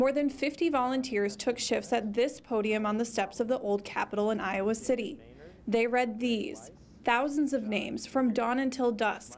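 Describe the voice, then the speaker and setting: This woman has an unremarkable speaking voice, pitched fairly high, with ordinary pitch variation and a moderate pace. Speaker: television news reporter. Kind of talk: TV news reporter stand-up and voiceover narration.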